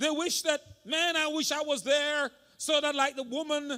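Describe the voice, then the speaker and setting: A raised, projected voice with a bright, sharp tone comes across as animated at a moderate pace, on a very clean recording with a silent background. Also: man. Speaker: senior pastor. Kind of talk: sermon. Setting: church.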